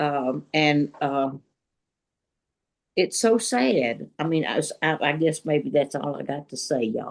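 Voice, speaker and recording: Pausing long and often, a woman with a very deep, low pitch speaks at a fairly slow pace with ordinary pitch variation. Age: 80s+. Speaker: retired teacher, book club member. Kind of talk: casual group discussion. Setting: video call. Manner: halting.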